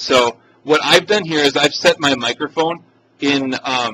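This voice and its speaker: The sound is dry and close, with no echo. A man with a fairly high pitch speaks with ordinary pitch variation. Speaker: instructor teaching a course module. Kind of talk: screen-recorded software tutorial. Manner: casual, hesitant with fillers; loud.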